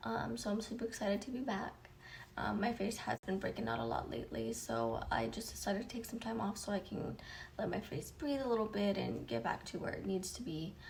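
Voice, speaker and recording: A quiet woman's voice at medium pitch with very wide pitch swings and a fairly quick pace, amid noticeable background noise and audible room echo. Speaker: beauty YouTuber. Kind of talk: makeup tutorial chat. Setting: home, early morning. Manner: speaking quietly; casual with many filler ums.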